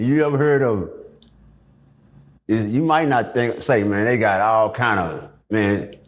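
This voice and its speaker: A man with an American accent speaks at very even loudness, leaving long, frequent pauses. Audible room echo surrounds the voice. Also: medium pitch for a man, ordinary pitch variation, fairly slow pace. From Dallas, Texas. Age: 60s. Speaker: former prisoner. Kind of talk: interview. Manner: casual.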